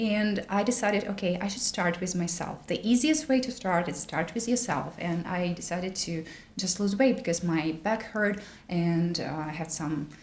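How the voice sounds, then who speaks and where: Over noticeable background noise, a woman with a Russian accent speaks at a moderate pace and medium pitch with lively intonation. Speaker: wellness content creator. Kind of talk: casual chat. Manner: halting.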